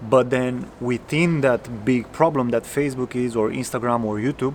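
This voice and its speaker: A man is speaking. He has a non-native accent. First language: not English. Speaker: coding coach. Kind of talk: casual tutorial talk. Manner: halting, with self-corrections.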